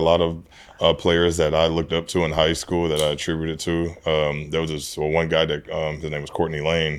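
A man with a very deep, low pitch at a fairly quick pace. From Houston, Texas. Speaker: retired NFL player. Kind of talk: casual interview.

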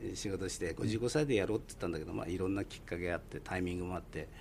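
This man's voice has a dark, mellow tone. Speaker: yakitori restaurant owner. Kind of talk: radio interview.

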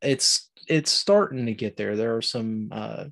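Here a man speaks with an American accent. His pace is fairly slow, with ordinary pitch variation. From southern Ohio, Appalachian. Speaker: outdoor podcaster. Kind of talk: casual chat.

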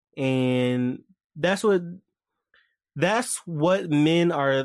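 Fairly high-pitched man with ordinary pitch variation against a quiet background. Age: 20s. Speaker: podcast host. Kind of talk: casual monologue.

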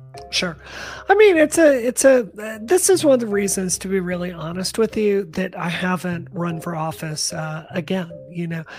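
A woman's lively intonation amid noticeable background noise. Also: medium pitch for a woman, moderate pace, big swings in loudness. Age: 40s. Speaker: tech commentator and former congressional candidate. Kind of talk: casual chat.

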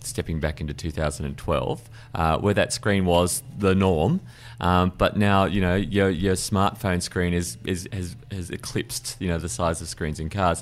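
A man with an Australian accent speaks slowly-ish, at a fairly slow pace, in a very deep, low pitch with vocal fry and lively intonation. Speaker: car podcast host. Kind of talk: casual chat.

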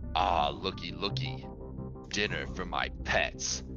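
Over loud music in the background, a man puts on a guttural character voice and speaks at a fairly slow pace. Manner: shouting.

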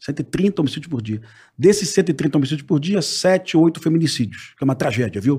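With lively intonation and some vocal fry, a man talks at a fairly quick pace in a fairly high pitch. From Rio de Janeiro. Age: 50s. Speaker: former police officer. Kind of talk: casual chat.

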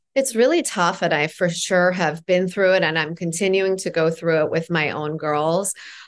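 An unremarkable speaking voice from a woman with a Canadian accent, fairly low pitch, ordinary pitch variation and hardly any pauses, against a quiet background. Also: moderate pace. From Toronto, Canada (born in Iran). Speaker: empowerment coach and author. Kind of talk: casual interview chat.

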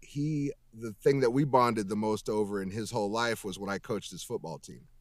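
A man speaks in an unremarkable speaking voice, fairly low in pitch with ordinary pitch variation. The recording is very clean, with a silent background. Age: 40s. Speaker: voice actor and musician. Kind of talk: casual chat.

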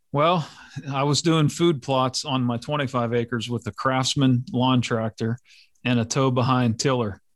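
In a very clean recording with a silent background, a man with an American accent speaks fairly slowly at a medium pitch. He has a plain, everyday voice. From western Pennsylvania, US. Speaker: police officer and landowner. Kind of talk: casual interview conversation.

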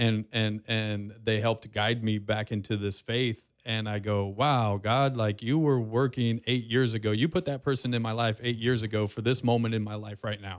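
Hardly pausing at all, a man in an ordinary speaking voice talks at a moderate pace and medium pitch with fairly even intonation. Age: 40s. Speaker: radio host and podcaster. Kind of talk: casual interview. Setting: studio.

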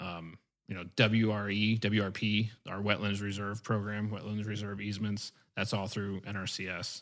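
In a very clean recording with a silent background, a man with an American accent speaks at a moderate pace in a fairly low, monotone voice with flat intonation. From East Central Missouri. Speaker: wildlife biologist. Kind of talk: casual interview.

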